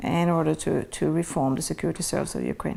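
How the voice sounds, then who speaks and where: A woman's very fast speech with vocal fry and a Norwegian accent. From Norway. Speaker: international security official. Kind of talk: interview. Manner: hesitant, with fillers.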